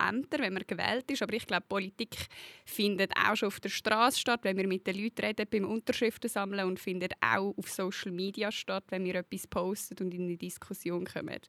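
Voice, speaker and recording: Bright and sharp in tone, a woman's voice comes through dry and close with no echo, in a very clean recording with a silent background. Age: 20s. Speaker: youth party co-president. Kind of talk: interview.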